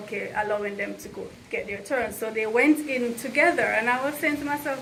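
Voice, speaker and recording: This woman's high voice moves at a moderate pace with ordinary pitch variation, and noticeable background noise sits behind it. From Jamaica. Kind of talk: storytelling to camera. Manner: casual, conversational.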